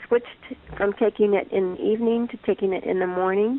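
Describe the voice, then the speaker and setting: A woman with a plain, everyday voice talks at a fairly high pitch, her pitch varying in an ordinary way. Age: 60s. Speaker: chronic pain patient. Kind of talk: interview testimony.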